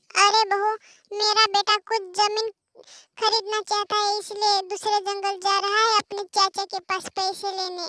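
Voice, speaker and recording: In a cartoonish character voice, a woman speaks at a moderate pace with an extremely high pitch and a monotone, flat intonation. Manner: bossy, commanding.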